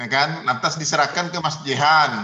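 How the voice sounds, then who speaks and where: This man's voice has a bright, sharp tone and a fairly high pitch. He talks at a fairly slow pace. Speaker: university lecturer in Islamic studies. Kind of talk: online class discussion. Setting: video call.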